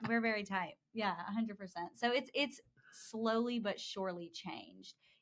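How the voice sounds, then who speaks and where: Using a normal speaking voice, a woman talks with an American accent at a moderate pace. Her pitch variation is ordinary. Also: fairly high pitch for a woman. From US South, Georgia (Dallas, near Atlanta). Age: 20s. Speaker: advertising account executive. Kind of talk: podcast interview. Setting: studio.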